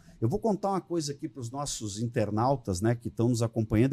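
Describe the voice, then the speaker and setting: Somewhat breathy and quick, a man speaks with lively intonation on a very clean recording against a silent background. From southern Brazil (Rio Grande do Sul). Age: 60s. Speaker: politician. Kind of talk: podcast interview.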